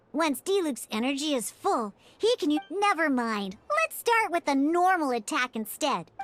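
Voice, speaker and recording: The speaker puts on a character voice. The pitch is high. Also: moderate pace. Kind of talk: video game tutorial dialogue. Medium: video game. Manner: lively, playful, teasing.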